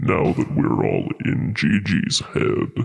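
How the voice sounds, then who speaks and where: A man speaks in a put-on character voice with a fairly low pitch. He talks very slowly, and his pitch swings very widely. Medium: actual play. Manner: mocking, impatient.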